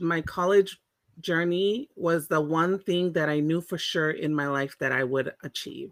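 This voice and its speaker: Her pitch fairly low with ordinary variation, a woman speaks at a fairly slow pace in a dry, close sound with no echo. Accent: Californian. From Monterey, California (born in Tonga). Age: 40s. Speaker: Pacific Islander community advocate. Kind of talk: interview conversation.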